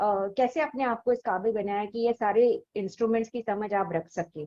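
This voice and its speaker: A woman's dark, mellow tone at a fairly high pitch. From South India. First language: not Hindi; mainly English speaker (speaking Hindi). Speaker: interviewer, channel host. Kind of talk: interview. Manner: polite, formal.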